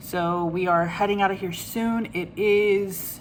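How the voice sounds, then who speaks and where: A woman speaks with a medium pitch. Room echo can be heard. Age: 30s. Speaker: craft vlogger. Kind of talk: casual vlog. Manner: hesitant with many fillers; quiet.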